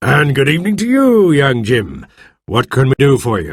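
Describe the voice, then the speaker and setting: There is a man doing a put-on character voice at a medium pitch and a moderate pace. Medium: read story. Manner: hearty, enthusiastic.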